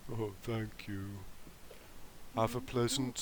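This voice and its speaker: Clear background noise sits behind this put-on character voice. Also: man, medium pitch for a man. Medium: actual play. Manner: polite, gentle.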